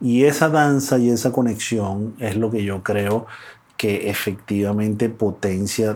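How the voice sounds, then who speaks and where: It is a plain, everyday voice. The intonation stays fairly even. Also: man. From Venezuela. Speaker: life and business coach. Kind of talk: interview conversation. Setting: in-person studio.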